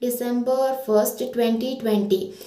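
A woman speaks at a high pitch with a Karnataka accent. Room echo is audible. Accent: Indian English (Kannada region). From India, Karnataka (Shivamogga). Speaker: internship trainee. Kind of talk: testimonial; testimonial statement. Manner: slightly halting with fillers. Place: home room. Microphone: phone near.

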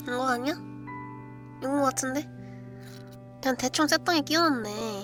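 Music plays behind a woman with a high-pitched voice. She speaks at a moderate pace, leaving long, frequent pauses. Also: ordinary pitch variation. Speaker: virtual streamer doing live ASMR roleplay. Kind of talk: live improvised roleplay ASMR, casual talk.

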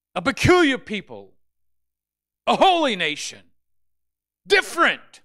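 A man speaks in a raised, projected voice at an extremely high pitch, with a bright, sharp tone, very wide pitch swings, a fairly slow pace and long, frequent pauses over a quiet background. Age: 60s. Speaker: pastor. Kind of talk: sermon. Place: church. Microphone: handheld.

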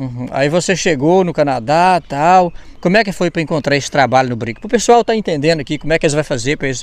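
Speaking very fast with a Brazilian accent, a man uses a fairly high pitch and lively intonation. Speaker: YouTuber interviewer. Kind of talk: casual interview chat.

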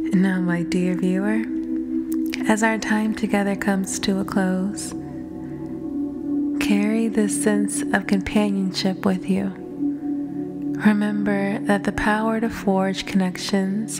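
A woman talks very slowly while music sounds in the background. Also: very even loudness. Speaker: ASMR artist. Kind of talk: affirmations for sleep. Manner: soft-spoken, slow.

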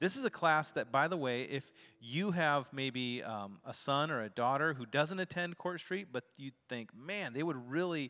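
A man speaks in a bright, sharp tone against a quiet background. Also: moderate pace. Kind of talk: announcements to congregation. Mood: warm, upbeat. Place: church. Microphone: handheld.

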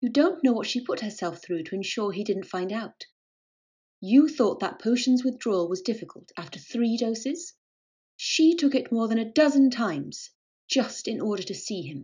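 A shaky, female-sounding put-on character voice, pitched fairly high for a woman, moves at a moderate pace. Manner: angry, intense.

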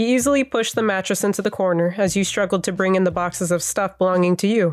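Over a silent background in a very clean recording, a woman talks fairly quickly at medium pitch with ordinary pitch variation, in a normal speaking voice. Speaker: fanfic reader, ASMR roleplay narrator. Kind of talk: fanfic reading with roleplay dialogue. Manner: soft, intimate, ASMR-style.

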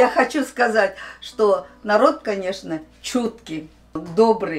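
Music plays in the background behind a woman. Her pitch is fairly high and her intonation lively. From Uzbekistan, ethnic Korean. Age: 70s. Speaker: elderly Koryo-saram woman being interviewed. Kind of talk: interview answer. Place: studio.

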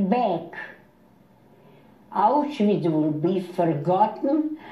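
Very slow speech from a woman with very wide pitch swings comes through noticeable background noise. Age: 80s+. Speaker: Holocaust survivor. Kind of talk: interview answer.

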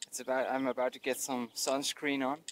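The voice moves at a moderate pace in a dry sound with no echo. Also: man. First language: not English. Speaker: touring cyclist. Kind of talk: casual vlog talk to camera outdoors. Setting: outdoors. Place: open country. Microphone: phone near.

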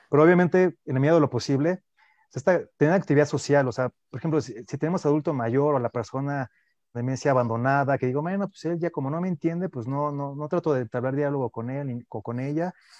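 A man at a very fast pace with ordinary pitch variation, dry sound with no echo. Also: quiet background. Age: young. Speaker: neuroscience researcher; guest. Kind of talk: radio interview. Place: home room. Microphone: earbuds.

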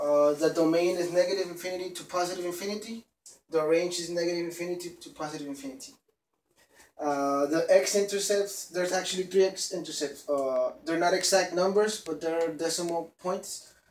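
Amid audible room echo, a man with a high pitch keeps fairly even intonation but shows big swings in loudness. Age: 20s. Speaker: student. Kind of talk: class presentation. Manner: halting. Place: classroom. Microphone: camera far.

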